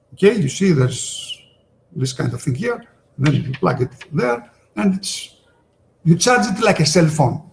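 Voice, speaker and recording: With a Greek accent, a man talks at a moderate pace and a fairly high pitch, using very wide pitch swings and long, frequent pauses. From Greece. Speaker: sales presenter. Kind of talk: webinar product presentation. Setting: online webinar. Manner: halting, many fillers.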